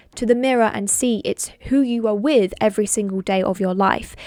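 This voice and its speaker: Here is a woman with a plain, everyday voice and a fairly high pitch. She speaks at a moderate pace with ordinary pitch variation, on a very clean recording with a silent background. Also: dry, close sound with no echo. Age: 20s. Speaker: self-development vlogger. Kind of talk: casual advice talk.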